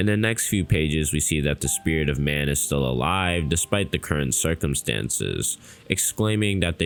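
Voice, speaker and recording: With music in the background, a man with a very deep, low pitch speaks at a moderate pace and with lively intonation. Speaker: anime YouTuber. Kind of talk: manga recap narration.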